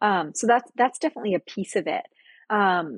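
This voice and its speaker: With an American accent, a woman talks at a moderate pace in an ordinary speaking voice, her pitch varying in an ordinary way, in a dry, close sound with no echo. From Costa Rica (Monteverde), US-born. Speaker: nonprofit CEO. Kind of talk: interview conversation.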